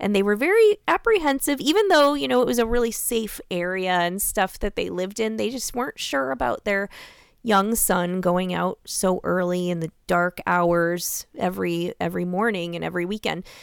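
With an unremarkable speaking voice, a woman talks at a moderate pace and medium pitch with lively intonation and hardly any pauses, in a very clean recording with a silent background. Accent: American. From Iowa, US Midwest. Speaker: true crime podcast host. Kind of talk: casual chat.

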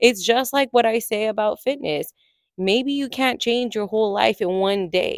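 In a normal speaking voice with an American accent, a woman talks at a moderate pace and fairly high pitch with lively intonation, recorded very cleanly against a silent background with a dry, close sound and no echo. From California. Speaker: podcast host and personal trainer. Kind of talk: solo podcast monologue. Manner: conversational, casual.

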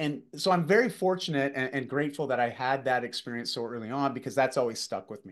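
Talking at a very fast pace with hardly any pauses, this man has a medium pitch, ordinary pitch variation and big swings in loudness against a quiet background. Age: 40s. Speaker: fitness and executive coach. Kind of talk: interview storytelling.

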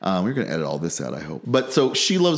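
A man is speaking. He has a Midwestern American accent. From central Illinois (small town). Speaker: state senator. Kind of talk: interview.

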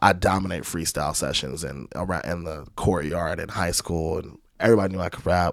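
On a very clean recording with a silent background, a man with a very deep, low pitch and vocal fry talks at a fairly quick pace with hardly any pauses and ordinary pitch variation. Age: 30s. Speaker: rapper and trombonist. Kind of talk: casual interview chat.

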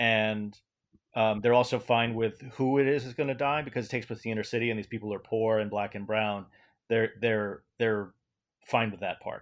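A man with an American accent and a normal speaking voice talks at a moderate pace and medium pitch over a quiet background. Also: fairly even intonation. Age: 40s. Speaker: independent filmmaker. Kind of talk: interview.

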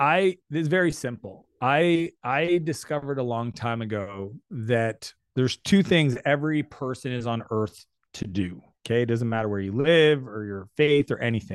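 A man with an unremarkable speaking voice at a medium pitch uses lively intonation against a quiet background. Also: moderate pace. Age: 40s. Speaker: entrepreneur. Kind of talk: interview.

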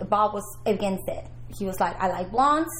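A woman speaks over noticeable background noise. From Peru. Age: 40s. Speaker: retired adult film performer. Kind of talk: casual interview chat.

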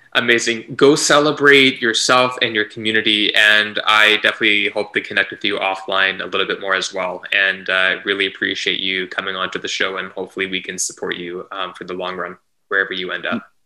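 A man with a Canadian accent has an unremarkable speaking voice, fairly low for a man, with fairly even intonation. He talks at a fairly quick pace with hardly any pauses. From Canada, Vancouver. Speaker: podcast host. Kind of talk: casual chat.

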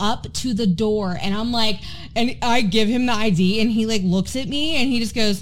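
Speaking at a moderate pace, a woman with a fairly high pitch shows vocal fry and ordinary pitch variation. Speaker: podcast co-host, realtor. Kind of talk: casual chat.

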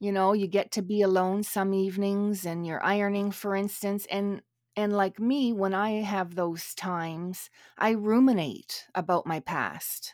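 Someone with a normal speaking voice talks at a fairly slow pace with fairly even intonation. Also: woman, medium pitch for a woman. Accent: Canadian. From Canada. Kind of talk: casual chat. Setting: remote recording across countries.

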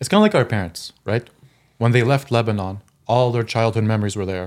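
A man with a fairly low pitch speaks in a normal speaking voice at a moderate pace, his intonation fairly even. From Eastern Ontario, Canada. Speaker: accountant. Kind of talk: casual chat.

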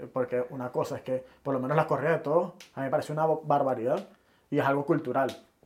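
A man speaks with a Venezuelan accent at a very fast pace. His pitch is fairly high and his intonation fairly even. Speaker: podcast co-host. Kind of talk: casual chat.

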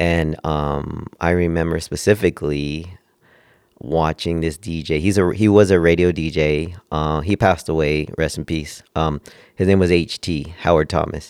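Someone with an American accent speaks at a moderate pace with fairly even intonation on a very clean recording with a silent background. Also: man, very deep, low pitch for a man. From Southern California (Oxnard). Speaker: DJ. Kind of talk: casual chat.

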